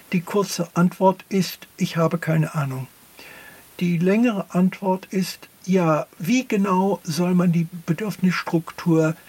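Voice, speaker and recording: A man with an English accent and a high pitch, talking at a very slow pace with fairly even intonation amid noticeable background noise. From US, near Philadelphia. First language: English (speaking German). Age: 70s. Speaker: philosopher. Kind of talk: interview. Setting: studio.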